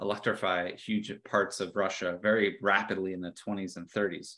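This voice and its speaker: In a quiet background, a man's fairly low voice comes through with a bright, sharp tone. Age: 40s. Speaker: geography professor and author. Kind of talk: lecture. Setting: video call. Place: home room. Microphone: webcam.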